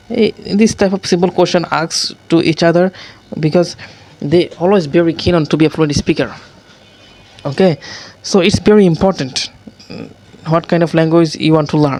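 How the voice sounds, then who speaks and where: Someone with a non-native accent talks at a moderate pace, leaving long, frequent pauses, with noticeable background noise. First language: not English. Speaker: English learner. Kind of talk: casual talk to camera. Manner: hesitant, with many fillers.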